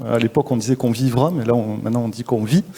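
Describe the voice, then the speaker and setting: A man speaks with a Toulouse accent. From southwestern France, Toulouse. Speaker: social entrepreneur, school founder. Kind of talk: interview at a live forum. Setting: live event. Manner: hesitant, many fillers.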